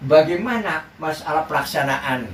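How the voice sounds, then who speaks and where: Over noticeable background noise, a man with a fairly high pitch speaks very slowly, his intonation lively. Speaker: Islamic preacher. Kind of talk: religious sermon.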